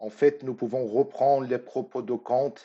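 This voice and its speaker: A man at a medium pitch, speaking at a fairly slow pace. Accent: Persian. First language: Persian (speaking French). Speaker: artist. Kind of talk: recorded lecture. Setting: pre-recorded at home.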